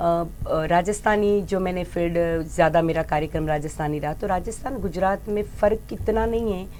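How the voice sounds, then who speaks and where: This woman speaks with a Gujarati accent at a fairly low pitch and with ordinary pitch variation. She leaves hardly any pauses. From Gujarat, India. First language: Gujarati (speaking Hindi). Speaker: folk singer. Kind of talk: interview. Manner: halting.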